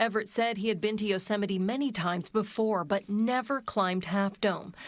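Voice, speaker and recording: A woman speaks in an unremarkable speaking voice at a medium pitch and a fairly quick pace. Her intonation is fairly even, her loudness very even, and the recording is very clean with a silent background. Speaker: TV news reporter. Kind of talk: TV news report narration.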